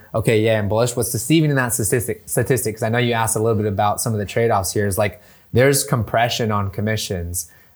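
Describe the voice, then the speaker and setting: This man has a normal speaking voice at medium pitch, with an American accent. His intonation is fairly even. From US West Coast, San Diego. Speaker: real estate tech professional. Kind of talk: casual interview chat.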